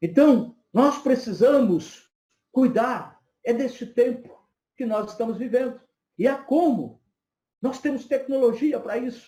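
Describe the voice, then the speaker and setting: Extremely high-pitched yet dark and mellow in tone, a man speaks at a fairly slow pace with ordinary pitch variation and long, frequent pauses. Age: 50s. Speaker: psychoanalyst and lecturer. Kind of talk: lecture.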